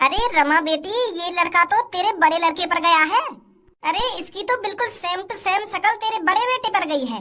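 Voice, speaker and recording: In a cartoonish character voice, a woman speaks at an extremely high pitch and a moderate pace, with lively intonation. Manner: blunt, scolding.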